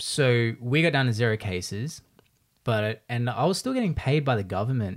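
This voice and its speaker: A man speaks with an Australian accent. His pitch sits in the middle range. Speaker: podcast host and video creator. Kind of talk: casual chat. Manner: fast talker.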